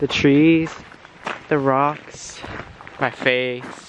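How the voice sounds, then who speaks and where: Over noticeable background noise, a man with a fairly high pitch speaks at a very slow pace. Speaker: vlogger. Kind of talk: travel vlog. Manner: animated.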